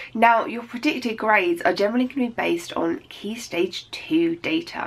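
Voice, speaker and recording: A woman's voice with vocal fry and very wide pitch swings. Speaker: teacher giving study advice. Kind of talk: educational vlog talk to students. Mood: warm, reassuring. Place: home room.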